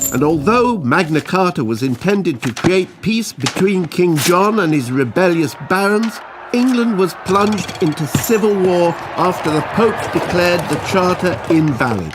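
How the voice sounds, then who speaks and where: A man's high-pitched voice with lively intonation and very even loudness, moderate in pace with hardly any pauses, against noticeable background noise. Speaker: narrator, comedian. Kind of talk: educational animation narration.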